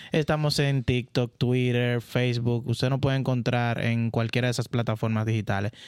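A man with a Dominican accent speaks at a moderate pace in a monotone, flat intonation, his loudness very even and his words hardly broken by pauses. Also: medium pitch for a man, very clean recording, silent background. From Dominican Republic, San Juan de la Maguana. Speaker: tech podcast co-host, IT and telecom professional. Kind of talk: casual chat.

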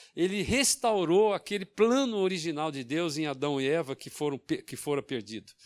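A man speaks with a high pitch and very wide swings in that pitch. His pace is moderate, and the recording is very clean with a silent background. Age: 70s. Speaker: pastor. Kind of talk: sermon. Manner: halting.

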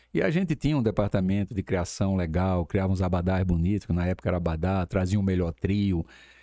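A speaker with a Paraíba accent talks at a very fast pace with hardly any pauses. The tone is dark and mellow, with very even loudness and fairly even intonation. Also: man, very deep, low pitch for a man, dry, close sound with no echo. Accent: northeastern Brazilian (Paraíba). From Campina Grande, Paraíba, Brazil. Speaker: events entrepreneur. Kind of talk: interview.

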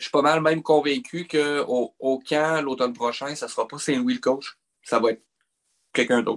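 Dry and close with no echo, a man talks in an ordinary speaking voice at a moderate pace and a fairly high pitch. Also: ordinary pitch variation. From Quebec. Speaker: hockey podcast co-host. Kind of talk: casual chat.

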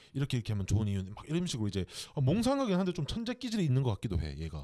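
Recorded very cleanly against a silent background, a man with a medium pitch and a dark, mellow tone speaks with very wide pitch swings. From Korea, Gyeongsang. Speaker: podcast co-host. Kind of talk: casual interview chat. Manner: many filler words.

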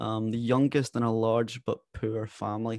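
Over a quiet background, a man with a west coast Scottish accent talks at a medium pitch. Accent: Scottish, west coast, fairly noticeable. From west coast of Scotland. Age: 20s. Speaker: podcaster and former apprentice consultant. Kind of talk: interview, telling life story. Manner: articulate, warm, animated.

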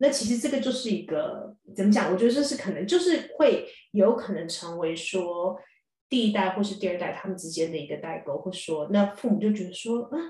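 A woman with a Taiwanese accent at a medium pitch, fairly quick pace and lively intonation. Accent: Taiwanese Mandarin. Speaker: dentist and columnist. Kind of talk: casual chat.

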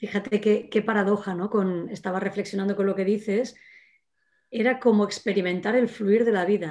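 On a very clean recording with a silent background, a woman at medium pitch talks at a moderate pace with monotone, flat intonation. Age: 50s. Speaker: former trainee of a creativity course. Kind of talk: casual chat.

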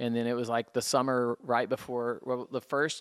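A man's medium-pitched voice at a moderate pace on a very clean recording with a silent background. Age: 50s. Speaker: music store owner. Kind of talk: testimony. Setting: music store.

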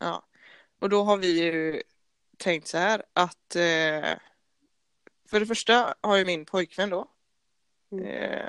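A woman speaks at a very slow pace with long, frequent pauses. Her intonation is fairly even and the sound is dry and close with no echo. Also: medium pitch for a woman. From Gothenburg, Sweden (partly Norrland). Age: 20s. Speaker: podcast co-host, handball player. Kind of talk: casual chat.

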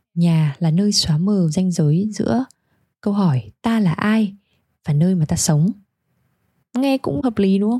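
A woman with a Hanoi accent speaks at a fairly slow pace, with long, frequent pauses, lively intonation and very even loudness. Her medium-pitched voice is somewhat breathy with a dark, mellow tone, and the sound is dry and close with no echo. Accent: Hanoi Vietnamese. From Hanoi, northern Vietnam. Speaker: podcast host. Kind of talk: scripted narration.

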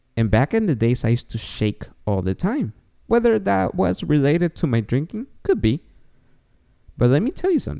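In a Spanish accent, a man with a dark, mellow tone and a medium pitch speaks at a moderate pace with very wide pitch swings and long, frequent pauses, recorded very cleanly against a silent background. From Guatemala. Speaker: podcast host. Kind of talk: casual monologue. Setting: home recording late at night. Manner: speaking quietly; joking, self-deprecating.

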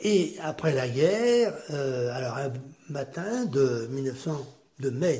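A man at a fairly high pitch with lively intonation and a very slow pace, amid noticeable background noise and audible room echo. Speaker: grandfather sharing war memories. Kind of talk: testimony.

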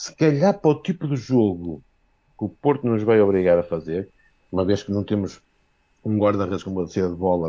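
This man has an ordinary speaking voice pitched fairly low. He talks at a moderate pace. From Viana do Castelo, northern Portugal. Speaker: football fan caller. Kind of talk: fan call-in opinion. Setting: video call.

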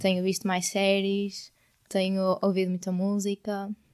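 A woman's medium-pitched voice with a European Portuguese accent, monotone and flat, fairly slow, in a very clean recording with a silent background. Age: 20s. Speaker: podcast co-host, university student. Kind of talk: casual chat. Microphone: new microphone.

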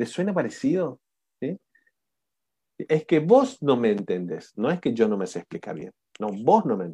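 Recorded dry and close with no echo, a man with a dark, mellow tone at medium pitch talks at a moderate pace, with very wide pitch swings, big swings in loudness, and long, frequent pauses. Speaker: coaching instructor. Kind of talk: online class. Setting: video call. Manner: animated.

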